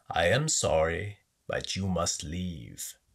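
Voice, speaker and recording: A man does a put-on character voice, croaky and growling. He talks at a very slow pace. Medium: read story. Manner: sly, threatening.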